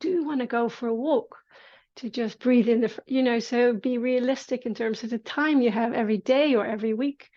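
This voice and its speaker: In a Dutch accent, a woman speaks with a high pitch. Her intonation is fairly even, against a quiet background. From Netherlands. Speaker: movement teacher. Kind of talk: casual conversation.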